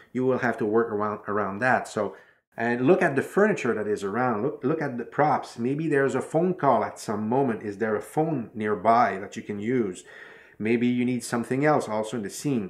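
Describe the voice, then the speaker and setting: The pace is moderate and the pitch variation ordinary. It's a man, with a quiet background. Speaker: filmmaking tutor. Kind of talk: tutorial. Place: home room.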